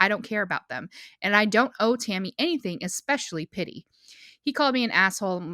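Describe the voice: Plain reading aloud with lively intonation comes through against a quiet background.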